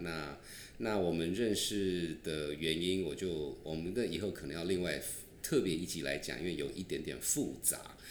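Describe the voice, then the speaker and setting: A man with a very deep, low voice at a moderate pace, with audible room echo. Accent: slight southern Taiwanese. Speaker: podcast host. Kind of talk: casual chat.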